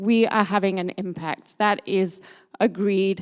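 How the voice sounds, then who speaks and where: On a very clean recording with a silent background, a woman speaks with a British accent. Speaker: sustainability consultant. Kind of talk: conference talk.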